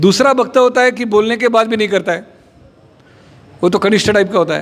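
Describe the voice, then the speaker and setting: In a Marathi accent, a man talks at a moderate pace. Noticeable background noise runs behind him. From Maharashtra, India. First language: Marathi (speaking Hindi). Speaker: spiritual speaker. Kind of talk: religious talk.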